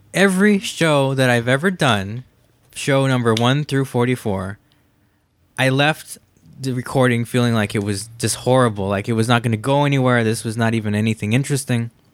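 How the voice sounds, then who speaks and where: In a very clean recording with a silent background, a man with a normal speaking voice talks at a fairly quick pace, medium in pitch with ordinary pitch variation. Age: 30s. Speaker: podcast host. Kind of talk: casual chat.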